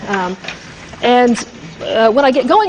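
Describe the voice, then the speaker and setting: Over noticeable background noise, a woman talks in a high pitch. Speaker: university lecturer. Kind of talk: lecture. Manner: fast.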